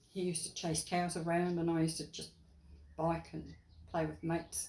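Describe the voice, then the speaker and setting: Audible room echo surrounds the voice. A woman talks at a moderate pace. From England, later New Zealand. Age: 80s+. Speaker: interviewee, local elder. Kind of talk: interview.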